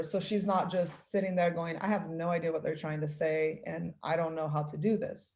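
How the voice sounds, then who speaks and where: Somewhat breathy, a woman speaks with a Portuguese accent. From Brazil. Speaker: parent of immersion student. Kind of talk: interview answer.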